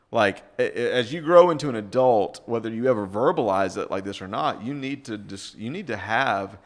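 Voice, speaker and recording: With an American accent, a man uses an ordinary speaking voice at medium pitch, a moderate pace and lively intonation. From US South. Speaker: pastor and author. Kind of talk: casual chat.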